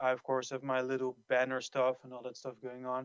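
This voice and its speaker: A man of medium pitch with a non-native accent, in a dry, close sound with no echo. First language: not English. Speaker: community member asking a question. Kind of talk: casual chat. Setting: outdoors, walking. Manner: halting.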